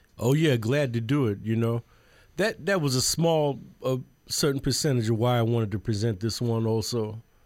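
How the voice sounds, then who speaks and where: A man with a New York accent speaks at medium pitch and a moderate pace, with ordinary pitch variation and very even loudness. The recording is very clean with a silent background. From Brooklyn, New York City. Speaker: jazz musician. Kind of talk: radio interview. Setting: radio studio.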